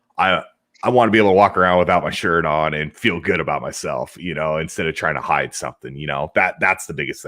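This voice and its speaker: The speaker has an American accent and a bright, sharp, energetic tone with vocal fry, moving at a fairly quick pace. The recording is very clean, with a silent background. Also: man. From United States. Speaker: podcast host and job seeker. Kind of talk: casual interview chat.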